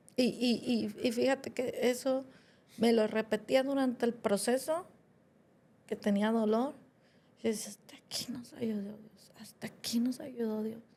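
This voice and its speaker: Dark, mellow tone from a fairly high-pitched woman at a fairly slow pace, fairly even intonation and big swings in loudness. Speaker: podcast co-host, granddaughter. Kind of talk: podcast conversation.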